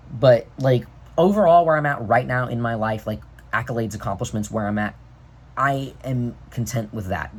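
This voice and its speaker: Medium pitch for a man, somewhat breathy, at a fairly quick pace. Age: 20s. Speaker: vlogger. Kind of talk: casual monologue vlog. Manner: fast; animated.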